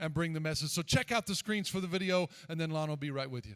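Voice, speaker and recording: With music in the background, a man in a Southern US accent speaks with ordinary pitch variation in a dry, close sound with no echo. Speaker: pastor. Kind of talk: church service introduction. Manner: casual.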